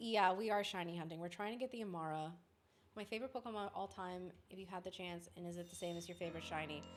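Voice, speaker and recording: Music plays behind a woman speaking at a very fast pace with an American accent and an animated tone. Her voice sits at medium pitch with ordinary pitch variation. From Oklahoma. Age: 30s. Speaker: streamer and voice actor. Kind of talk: casual livestream chat.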